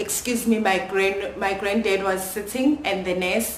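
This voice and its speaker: Against noticeable background noise and audible room echo, a woman speaks at medium pitch and a very slow pace. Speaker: YouTuber. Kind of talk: personal storytelling vlog. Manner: loud.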